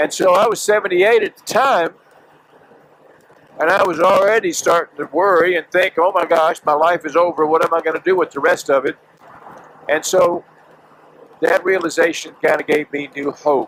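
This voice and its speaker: A man speaks at a moderate pace with a high pitch and fairly even intonation, leaving long, frequent pauses. The sound is dry and close with no echo, over noticeable background noise. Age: 70s. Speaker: motorcycle vlogger. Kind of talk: vlog monologue. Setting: riding a motorcycle on a highway. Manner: casual, halting with fillers.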